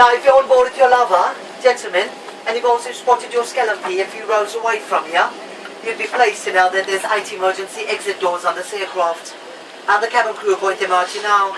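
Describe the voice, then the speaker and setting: Noticeable background noise sits behind a woman's medium-pitched voice. She talks at a very fast pace with fairly even intonation. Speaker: flight attendant. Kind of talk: in-flight safety announcement. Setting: PA system. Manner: humorous, playful.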